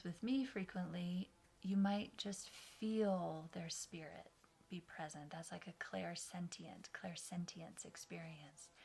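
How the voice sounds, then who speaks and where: At a medium pitch with ordinary pitch variation, a woman talks at a very slow pace. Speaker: meditation guide. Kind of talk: guided meditation. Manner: slow, soft-spoken.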